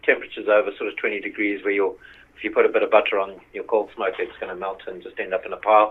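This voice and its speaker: His loudness rises and falls in big swings. The man's pace is very fast. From Zimbabwe. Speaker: smoker company owner. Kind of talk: podcast interview.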